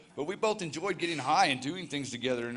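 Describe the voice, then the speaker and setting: A man with an American accent in a room with audible echo. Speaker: recovery ministry leader sharing testimony. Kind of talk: testimony. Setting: church.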